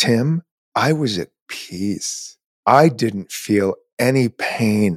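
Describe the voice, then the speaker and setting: A man with a fairly low pitch on a very clean recording with a silent background. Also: dry, close sound with no echo. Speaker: podcast host. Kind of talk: casual interview chat. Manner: animated, upbeat.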